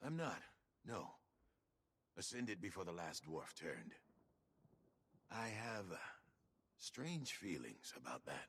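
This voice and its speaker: A man puts on a character voice with a fairly low pitch. He moves at a fairly slow pace, leaving long, frequent pauses. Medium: video game. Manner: wry, teasing.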